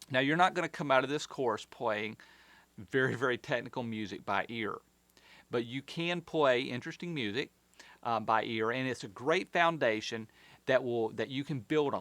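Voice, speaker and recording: On a very clean recording with a silent background, a man with a Southern US accent speaks at a moderate pace, at a medium pitch with ordinary pitch variation. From US South. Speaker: concert pianist and piano teacher. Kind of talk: tutorial. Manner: casual, with frequent fillers.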